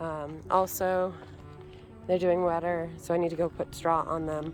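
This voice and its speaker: Over background music, a woman speaks in a relaxed tone at a fairly low pitch. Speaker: homesteader, gardener. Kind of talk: casual garden tour talk to camera. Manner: relaxed, hesitant with many fillers.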